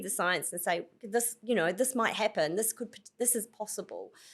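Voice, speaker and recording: A woman with a New Zealand accent, fairly high in pitch, at a fairly quick pace. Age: 50s. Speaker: author. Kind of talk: interview conversation. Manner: animated.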